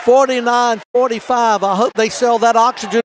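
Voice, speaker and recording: With crowd noise behind him, a man in a Southern US accent talks at a fairly quick pace and an extremely high pitch. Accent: Southern US (Georgia). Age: 60s. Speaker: sports announcer. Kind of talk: live commentary.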